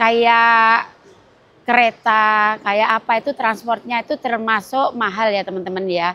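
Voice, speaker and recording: A woman speaks at a fairly slow pace with fairly even intonation. Her voice is fairly high, with a bright, sharp tone. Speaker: vlogger. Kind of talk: travel vlog. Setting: airport.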